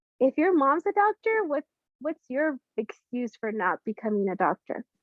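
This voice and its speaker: A woman with a Spanish accent speaks at a fairly slow pace. Her pitch is high and swings very widely. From Latin America, immigrated to US at age five. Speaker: business founder and therapist. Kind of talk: interview.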